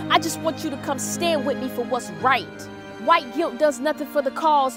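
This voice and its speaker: A woman talks at a moderate pace. Behind her, music plays. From Charlotte, North Carolina. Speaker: motivational speaker. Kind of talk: spoken word poetry performance. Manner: rhythmic, impassioned.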